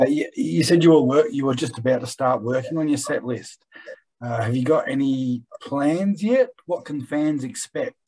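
Against a quiet background, a man with a dark, mellow tone and fairly high pitch speaks at a moderate pace with ordinary pitch variation. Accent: Australian. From Australia. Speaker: interviewer. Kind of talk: interview. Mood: friendly, smiling. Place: home room. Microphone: webcam.

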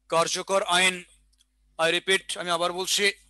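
A man's raised, projected voice sits at a high pitch with a bright, sharp tone, recorded dry with no echo over a quiet background. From Bangladesh. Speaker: exam prep teacher. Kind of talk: online lecture; lecture. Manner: repetitive, dictation pace. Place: classroom. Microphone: headset.

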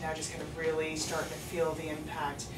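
A woman talks at a fairly quick pace amid loud background noise. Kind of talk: calm clinical counseling conversation. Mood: gentle, compassionate. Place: meeting room. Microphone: camera far.

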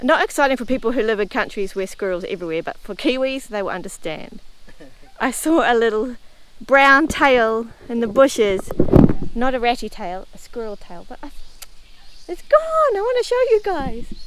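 A woman with a high pitch and lively intonation speaks at a moderate pace, her loudness swinging widely in a dry sound with no echo. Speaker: travel vlogger. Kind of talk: casual vlog chat. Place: street. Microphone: phone near.

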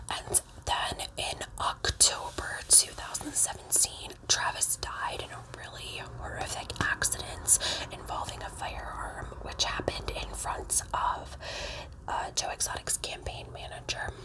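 Soft-spoken and whispering, a woman talks at a fairly slow pace over noticeable background noise. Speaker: storyteller. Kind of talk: casual vlog chat. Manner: soft close ASMR whisper. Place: home room. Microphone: phone near.

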